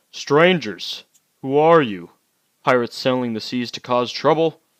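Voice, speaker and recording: A booming, put-on character voice moves along at a moderate pace. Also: man, medium pitch for a man. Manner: interrogating, suspicious.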